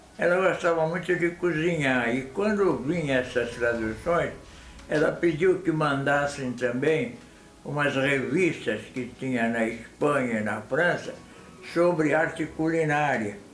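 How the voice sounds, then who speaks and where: Pitched fairly high, a man talks at a fairly slow pace with ordinary pitch variation. Noticeable background noise and audible room echo are present. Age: 90s. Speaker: elderly family member interviewed. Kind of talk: interview.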